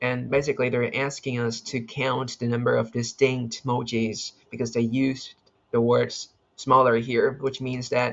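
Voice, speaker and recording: The man keeps a medium pitch and a moderate pace, his intonation monotone and flat. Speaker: competitive programming video creator. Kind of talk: screen-recorded coding tutorial, thinking aloud. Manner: halting, self-correcting; casual.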